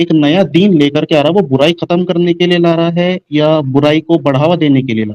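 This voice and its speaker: A plain, everyday voice moves at a moderate pace in a dry, close sound with no echo. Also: man. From India. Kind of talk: casual debate discussion.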